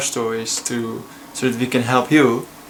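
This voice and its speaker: A man speaks with a Dutch accent. Noticeable background noise is present. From Netherlands. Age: 20s. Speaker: student. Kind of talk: casual talk to camera. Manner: hesitant, many filler sounds.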